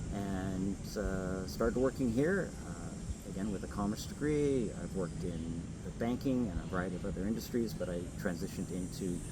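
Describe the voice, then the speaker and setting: Audible room echo surrounds a man whose very deep, low pitch carries lively intonation. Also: moderate pace. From Quebec, Montreal South Shore. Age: 60s. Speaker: mayoral candidate. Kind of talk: interview.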